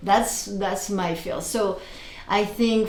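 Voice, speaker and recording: A woman with a French accent speaks at a medium pitch and a very slow pace, with audible room echo around her. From France, Paris. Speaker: interior and furniture designer. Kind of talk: casual interview.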